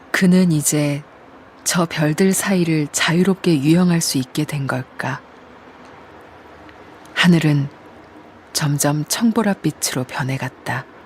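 Very slow speech from a woman with a very deep, low pitch and ordinary pitch variation, broken by long, frequent pauses. Background noise is noticeable. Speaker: voice actor. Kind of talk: audiobook-style literary narration. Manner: calm, soft-spoken.

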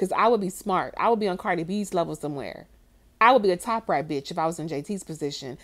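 A woman talks in an animated tone. Behind her the background is silent, and the recording is very clean. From Miami, Florida, Haitian-American family. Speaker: YouTube commentator. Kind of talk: reaction commentary rant.

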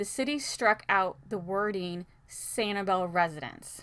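A woman talks with ordinary pitch variation. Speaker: local news updater. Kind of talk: news update read. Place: office.

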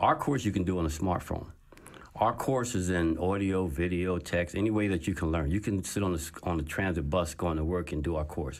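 Very deep and low, a man's voice carries an American accent with ordinary pitch variation. He speaks at a fairly quick pace. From New Jersey, Trenton. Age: 50s. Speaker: entrepreneur and author. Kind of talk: interview. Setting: studio. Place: studio. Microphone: studio mic.

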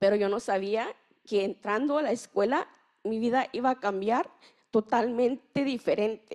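A woman's fairly high voice at a fairly slow pace, with ordinary pitch variation and a quiet background. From Mexico, Chiapas. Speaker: youth researcher and migrant youth leader; panelist. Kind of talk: personal testimony. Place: hall. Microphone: handheld.

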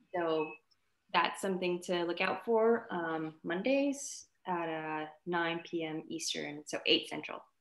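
With audible room echo, a woman speaks very slowly in a fairly low pitch. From Montreal, Quebec, Canada (Vietnamese family). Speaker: actress. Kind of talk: casual interview chat; interview answer. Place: home room. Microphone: video call.

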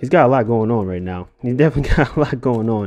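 Pitch moves in an ordinary way as a man talks at a fairly quick pace. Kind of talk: casual commentary.

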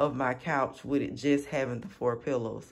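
His intonation is fairly even. The speaker is a man. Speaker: home decor vlogger. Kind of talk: casual vlog chat. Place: home room. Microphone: phone near.

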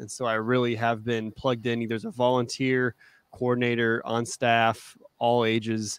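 In a dry sound with no echo, a man with an American accent speaks at a medium pitch and a fairly slow pace with monotone, flat intonation. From Arizona, US. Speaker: youth minister. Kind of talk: interview. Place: home room. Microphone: studio mic.

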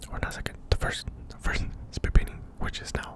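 In an intense whisper, a man speaks at a very fast pace. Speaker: ASMR creator. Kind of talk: ASMR talk to camera with mouth sounds. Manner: whispered, intense. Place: home room. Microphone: studio mic.

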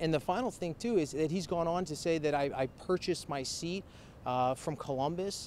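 Speaking at a moderate pace in a fairly high pitch with ordinary pitch variation, a man is recorded with a dry sound, no echo and light background noise. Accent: American. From Mahoning Valley, northeast Ohio. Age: 30s. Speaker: political candidate. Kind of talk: candidate interview. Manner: halting, many fillers. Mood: earnest, defensive about opponent. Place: street.

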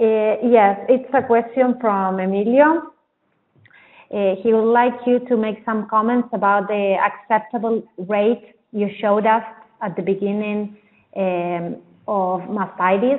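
A woman speaks with a Spanish accent at a fairly slow pace. Her pitch is fairly high and her intonation fairly even. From Argentina. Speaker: Spanish-language co-host. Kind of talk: reading out audience questions. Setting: remote webinar call.

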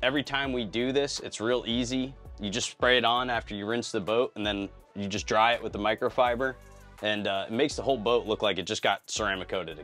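Over faint background music, a man speaks at a fairly quick pace with ordinary pitch variation. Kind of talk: interview answer. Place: boat. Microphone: lapel.

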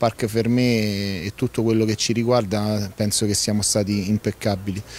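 In a dry recording with no echo, a man talks fairly slowly at a fairly low pitch in a monotone, flat intonation. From Lazio, Frosinone area. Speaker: rally event organizer. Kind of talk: on-site interview. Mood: calm, somewhat resigned. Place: garden. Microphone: handheld.

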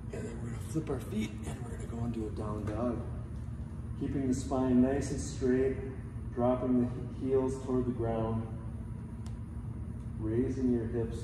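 Pausing long and often, a man speaks at a moderate pace with fairly even intonation, against noticeable background noise and audible room echo. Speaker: yoga instructor. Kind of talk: tutorial. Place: gym. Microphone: camera far.

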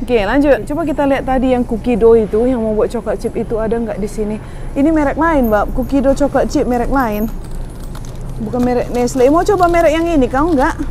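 This woman's voice is high-pitched and moves at a very fast pace. The sound is dry with no echo, over light background noise. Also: ordinary pitch variation. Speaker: parent vlogger. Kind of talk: casual vlog chat. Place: shop. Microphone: lapel.

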